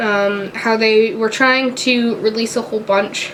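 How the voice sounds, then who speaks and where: At a moderate pace, a woman talks with noticeable background noise behind her. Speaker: beauty YouTuber. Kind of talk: casual talk to camera.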